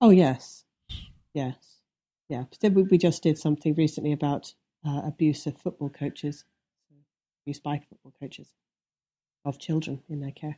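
With an English Midlands accent, a woman talks in a very deep, low pitch and a dark, mellow tone, leaving long, frequent pauses, in a dry, close sound with no echo. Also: ordinary pitch variation, moderate pace. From English Midlands, Leicestershire. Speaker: TV producer and investigative journalist. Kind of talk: interview conversation. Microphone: extreme echo on the line, removed in editing.

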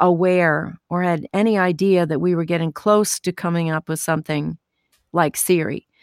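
The speaker uses a normal speaking voice at a fairly slow pace with fairly even intonation. The sound is dry and close with no echo, in a very clean recording with a silent background. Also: woman. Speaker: voice actor. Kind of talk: casual interview.

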